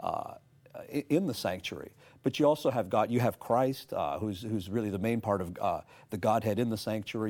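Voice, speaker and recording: A man with a Canadian accent, an unremarkable speaking voice and a fairly low pitch, talking at a fairly quick pace on a very clean recording with a silent background. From Canada, Toronto. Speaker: pastor and seminar speaker. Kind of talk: religious discussion.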